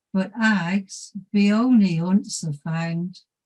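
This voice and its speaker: A woman speaks very slowly with a Dorset accent, her voice somewhat breathy and dark and mellow in tone. Her pitch sits in the medium range, with ordinary variation. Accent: Dorset dialect reading. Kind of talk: poetry reading.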